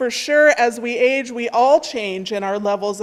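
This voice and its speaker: At a fairly slow pace, a woman is talking. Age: 60s. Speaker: minister. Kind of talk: sermon. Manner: conversational.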